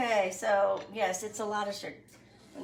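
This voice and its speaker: Noticeable background noise and audible room echo surround this woman as she talks. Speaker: home cooking video host. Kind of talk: cooking tutorial. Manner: casual, chatty.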